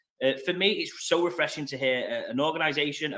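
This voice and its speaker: A man's bright, sharp voice in a strong northern English accent at a fairly quick pace. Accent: thick northern English. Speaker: interviewer. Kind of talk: interview.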